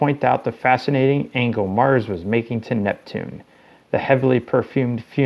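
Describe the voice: Ordinary pitch variation accompanies plain reading aloud.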